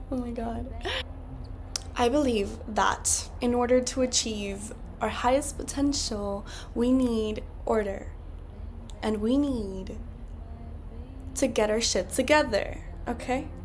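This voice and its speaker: A woman's high-pitched voice at a very slow pace with long, frequent pauses, fairly even intonation, noticeable background noise and audible room echo. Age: 20s. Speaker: podcast host. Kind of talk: casual solo podcast monologue.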